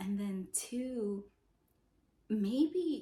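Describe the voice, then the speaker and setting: Lively in intonation, a woman speaks with a dark, mellow, somewhat breathy tone. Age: 20s. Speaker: lifestyle vlogger. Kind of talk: casual vlog monologue.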